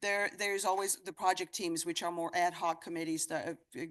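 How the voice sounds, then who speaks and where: The woman's voice sits fairly low. She speaks at a fairly quick pace. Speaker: association president. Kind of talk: meeting announcements. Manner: fast.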